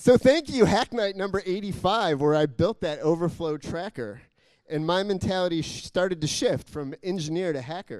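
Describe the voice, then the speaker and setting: Lively in intonation and animated, playful in tone, the voice has a dry sound with no echo and a quiet background. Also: man, high pitch for a man, moderate pace. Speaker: poet and civic tech volunteer. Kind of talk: spoken-word poem, rhymed verse with a punchline rhythm, performed to an audience. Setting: stage with audience. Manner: animated, playful, comic timing with rhyme and laughter. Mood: humorous, smiling. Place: hall. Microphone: handheld.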